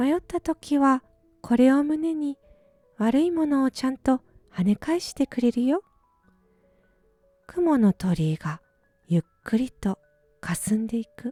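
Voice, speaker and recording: A woman speaks fairly slowly in a high, calm, gentle voice with very wide pitch swings and long, frequent pauses. Music plays in the background, and the sound is dry and close with no echo. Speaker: musician. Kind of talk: bedtime short story reading.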